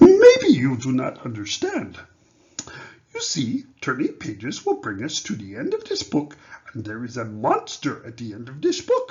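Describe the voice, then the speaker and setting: A man puts on a character voice and talks at a moderate pace. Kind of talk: picture book read-aloud in character. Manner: anxious, pleading, excitable.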